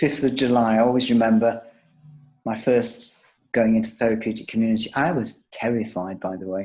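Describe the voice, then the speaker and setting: A man talks at a fairly quick pace. He has a plain, everyday voice. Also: medium pitch for a man. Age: 60s. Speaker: psychotherapy supervisor and author. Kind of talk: interview. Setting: interview.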